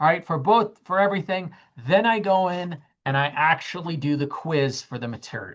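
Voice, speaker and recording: An ordinary speaking voice from a woman, with lively intonation, a moderate pace and a quiet background. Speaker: college math instructor. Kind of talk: lecture.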